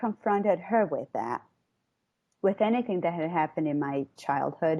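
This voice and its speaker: Against a quiet background, a woman talks at a medium pitch with lively intonation. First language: not English. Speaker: caller. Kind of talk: personal conversation about childhood. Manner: halting.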